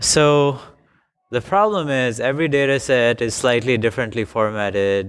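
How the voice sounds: At a fairly slow pace, a man speaks with fairly even intonation and a fairly bright, clear, smooth tone.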